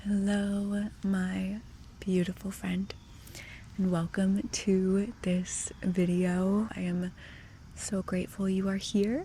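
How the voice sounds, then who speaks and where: Soft-spoken and somewhat breathy, a woman speaks at a very slow pace. Her dark, mellow tone carries monotone, flat intonation. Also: medium pitch for a woman. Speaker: ASMR creator. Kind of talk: ASMR Q&A chat. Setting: outdoors.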